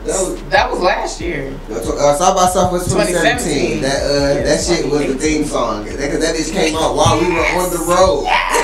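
Loud background noise behind a man talking at a moderate speed. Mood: relaxed, joking. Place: studio.

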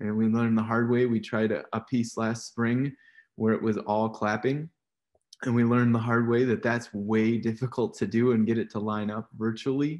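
Speaking at a moderate pace, the man has a medium pitch and a monotone, flat intonation. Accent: Midwestern American. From Iowa. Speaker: percussion professor and moderator. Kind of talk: panel moderation.

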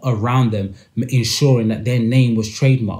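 A man speaks at a medium pitch with a British accent, his tone dark and mellow and somewhat breathy. The background is quiet. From UK. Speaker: podcast host discussing music industry. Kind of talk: solo commentary monologue. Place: home room. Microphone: earbuds.

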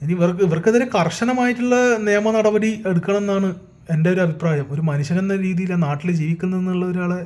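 Background noise is noticeable here. Through it comes a man's high-pitched voice. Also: ordinary pitch variation. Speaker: YouTuber. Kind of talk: opinion monologue. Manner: animated; halting.

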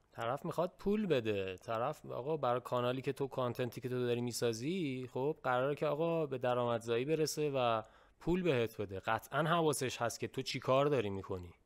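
Against a quiet background, a man speaks at a fairly quick pace. His medium pitch shows ordinary variation. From Iran. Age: young. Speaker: YouTuber. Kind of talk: casual chat. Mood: earnest, reflective. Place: home room. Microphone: studio mic.

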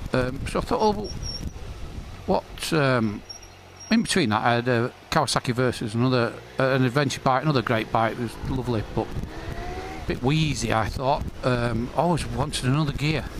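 Noticeable background noise runs under this clip. A man speaks at a medium pitch and moderate pace, with ordinary pitch variation, very even loudness and long, frequent pauses. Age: 50s. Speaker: motorcycle vlogger. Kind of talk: casual vlog monologue. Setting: riding a motorcycle outdoors.

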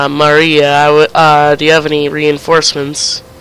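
Over noticeable background noise, a man speaks at a very slow pace in a fairly high pitch. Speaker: gaming video creator. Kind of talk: casual gameplay commentary. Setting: online voice chat.

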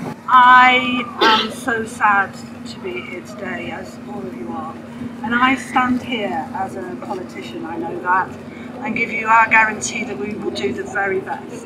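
Against noticeable background noise, a woman with a fairly high pitch and fairly even intonation talks at a fairly slow pace, with big swings in loudness. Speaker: politician. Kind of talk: rally speech. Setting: outdoor rally. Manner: emotional, halting.

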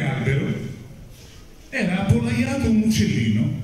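Strong room echo surrounds a man's voice. He talks at a fairly slow pace with very wide pitch swings. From Rome, Italy. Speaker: actor. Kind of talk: live narration of a musical fairy tale for children. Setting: theatre stage with orchestra. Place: stage.

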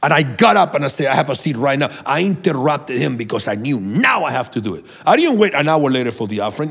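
The speech comes at a very fast pace with hardly any pauses. Pitch swings very widely over a quiet background. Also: man. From Venezuela. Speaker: prophet and minister; minister. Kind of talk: sermon-like teaching and prayer. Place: studio. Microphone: studio mic.

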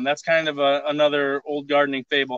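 A man with an American accent speaks at a fairly quick pace, the sound dry with no echo and the background quiet. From northern Michigan. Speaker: master gardener and homesteader. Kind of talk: outdoor gardening tutorial on a livestream. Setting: outdoors at his homestead, video livestream. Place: garden.

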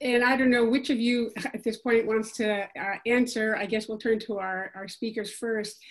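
Against a quiet background, a woman with an ordinary speaking voice talks at a fairly high pitch, with fairly even intonation and hardly any pauses. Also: moderate pace. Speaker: Q&A moderator. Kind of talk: Q&A moderation. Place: home room. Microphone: video call.

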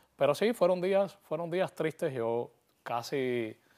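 A man with a Cuban accent and lively intonation, against a quiet background. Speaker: actor and playwright; actor. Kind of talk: interview. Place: studio. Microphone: lapel.

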